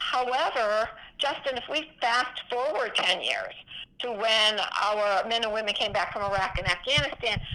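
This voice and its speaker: Her tone is bright and sharp. The woman's pitch is fairly high. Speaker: physician and veterans charity founder. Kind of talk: interview. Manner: animated.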